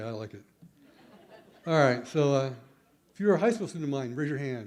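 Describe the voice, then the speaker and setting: A man with a medium pitch talks very fast, with long, frequent pauses and big swings in loudness. There is audible room echo. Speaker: teacher educator. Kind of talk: conference talk. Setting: stage with audience.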